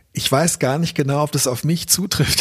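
A man speaks in a somewhat breathy voice. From Berlin, Germany. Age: 50s. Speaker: author and journalist. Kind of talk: personal reflection monologue. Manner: thoughtful with frequent fillers.

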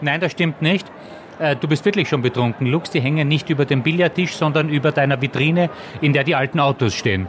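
A man with a Viennese accent at a fairly quick pace, fairly high pitch, ordinary pitch variation and very even loudness, with noticeable background noise. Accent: Viennese Austrian. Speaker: journalist and author. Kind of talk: casual chat.

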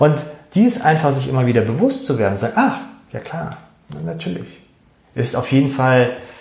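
A man of medium pitch speaks with vocal fry and takes long, frequent pauses. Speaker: meditation guide. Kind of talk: guided meditation. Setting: recorded live show for Facebook. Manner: calm, slow and soothing, soft-spoken, with gentle pauses.

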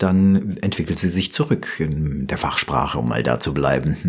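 Over noticeable background noise, a man with a very deep, low pitch speaks at a moderate pace with lively intonation. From Germany, Rüsselsheim (Hesse). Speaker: professional voice-over artist. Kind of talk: interview. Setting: studio. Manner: polished, professional.

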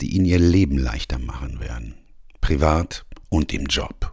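A man's dark, mellow tone at a moderate pace. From Ruhr area, Germany. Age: 60s. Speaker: coach and podcast host. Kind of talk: scripted podcast intro monologue.

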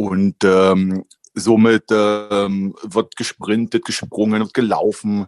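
A man's fairly low, monotone voice with flat intonation at a very slow pace. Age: 40s. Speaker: vocational trainer. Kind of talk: casual chat.

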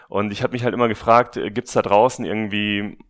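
Against a quiet background, a man speaks very fast in a fairly low voice with fairly even intonation. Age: 30s. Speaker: podcaster and marketing manager. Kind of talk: interview. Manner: hesitant, many filler sounds.

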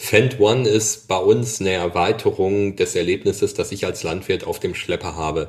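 A man's moderate-paced speech on a very clean recording, the background silent. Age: 40s. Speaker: agricultural machinery product manager. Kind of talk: interview.

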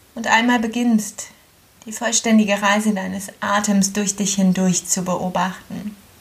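A woman speaks at a medium pitch in a gentle, calm tone with monotone, flat intonation, and there is noticeable background noise. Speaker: yoga teacher. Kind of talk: guided meditation. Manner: slow, calm, soothing; gentle, with long pauses.

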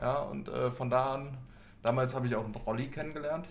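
Talking at a very fast pace, a man with a medium pitch and vocal fry is heard with audible room echo. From Hanau, Hesse, Germany. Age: 20s. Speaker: tattoo artist. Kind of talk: casual chat.

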